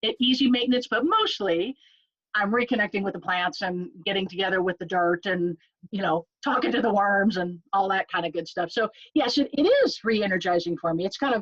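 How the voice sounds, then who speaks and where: This woman has an ordinary speaking voice at a medium pitch with ordinary pitch variation, speaking at a fairly quick pace in a dry, close sound with no echo. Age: 60s. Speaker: nurse and home gardener. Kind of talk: casual interview.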